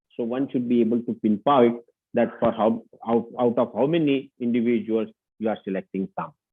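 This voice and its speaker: His voice is a normal speaking voice, medium in pitch. The man keeps a moderate pace with fairly even intonation. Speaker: lecturer. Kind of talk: lecture.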